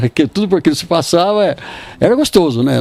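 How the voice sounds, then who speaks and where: A man talks fairly quickly while noticeable noise runs underneath. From interior of São Paulo state (Bofete area). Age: 80s+. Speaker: retired cattle trader. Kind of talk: interview, personal reminiscence. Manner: halting, repeats words.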